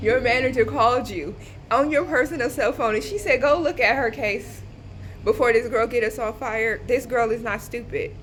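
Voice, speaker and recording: Loud and animated, a woman talks at a moderate pace in a high voice with ordinary pitch variation. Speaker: vlogger. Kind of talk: casual vlog rant. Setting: waiting area of a government office.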